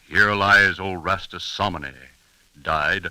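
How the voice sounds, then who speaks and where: Over music in the background, a man with a fairly low pitch speaks at a moderate pace. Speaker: old-time radio narrator. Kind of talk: 1930s radio show narration.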